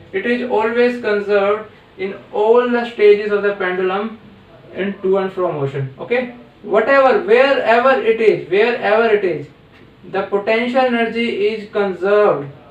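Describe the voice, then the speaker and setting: A high-pitched man with an Indian accent and ordinary pitch variation, over noticeable background noise. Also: moderate pace. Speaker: physics teacher. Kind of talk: tutorial. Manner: halting, many fillers.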